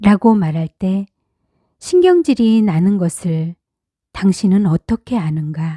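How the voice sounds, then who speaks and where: A woman's somewhat breathy, dark, mellow voice at medium pitch, calm in tone yet lively in intonation, very slow in pace, with a dry, close sound and no echo. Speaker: audiobook narrator. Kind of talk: reading aloud.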